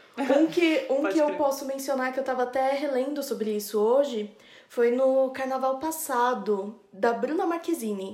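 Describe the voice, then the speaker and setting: Someone speaks at a moderate pace with hardly any pauses and ordinary pitch variation amid noticeable background noise. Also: woman, high pitch for a woman. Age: 20s. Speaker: podcast producer. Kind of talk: casual chat.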